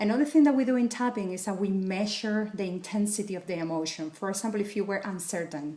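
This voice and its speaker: A woman with a Spanish accent and medium pitch, at a very fast pace with hardly any pauses. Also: ordinary pitch variation. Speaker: wellness coach. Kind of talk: tutorial.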